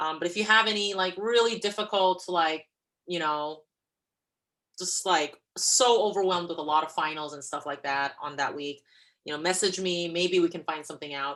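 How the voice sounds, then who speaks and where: Speaking at a moderate pace, a woman with fairly low pitch shows ordinary pitch variation and big swings in loudness. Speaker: college lecturer. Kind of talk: online lecture. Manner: hesitant, many fillers.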